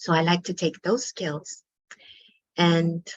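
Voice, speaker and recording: A woman's somewhat breathy, fairly low voice. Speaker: pediatric occupational therapist. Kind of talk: online workshop presentation.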